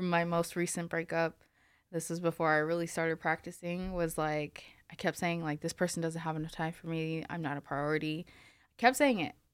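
This is an ordinary speaking voice at a moderate pace, with big swings in loudness. The recording is very clean, with a silent background. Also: woman, fairly low pitch for a woman, fairly even intonation. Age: 20s. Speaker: life coach and podcast host. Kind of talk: casual chat.

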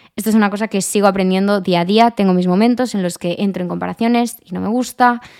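On a very clean recording with a silent background, a woman at medium pitch talks very fast with hardly any pauses. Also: fairly even intonation. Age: 20s. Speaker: lifestyle podcaster. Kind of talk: casual monologue.

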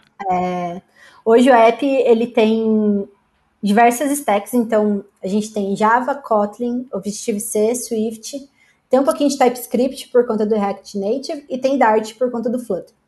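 Against a quiet background, a woman speaks at a fairly slow pace in a dark, mellow tone. Her pitch varies in an ordinary way. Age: 20s. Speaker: software engineer. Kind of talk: casual chat.

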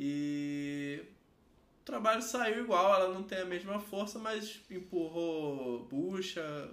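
Speaking at a very slow pace, a man uses a high pitch and lively intonation, with audible room echo around him. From Rio de Janeiro, Brazil. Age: 30s. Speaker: tattoo artist. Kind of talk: casual chat.

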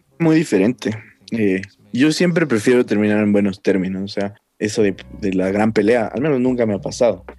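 A man with a dark, mellow tone talks at a fairly quick pace, his fairly low pitch showing ordinary variation. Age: 20s. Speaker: psychologist. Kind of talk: casual chat.

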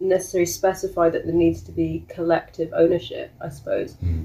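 There is music in the background. A woman speaks at a moderate pace. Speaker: co-housing group member. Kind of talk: interview.

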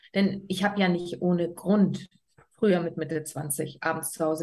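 This woman has a normal speaking voice. She talks at a moderate pace with fairly even intonation. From Berlin, Germany. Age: 30s. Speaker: life coach. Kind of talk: casual interview.

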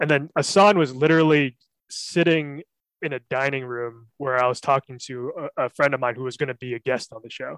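With an American accent, a man talks at a fairly quick pace in a normal speaking voice, fairly high in pitch with fairly even intonation and big swings in loudness, recorded with a dry, close sound and no echo. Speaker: podcast host. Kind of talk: casual comedy banter.

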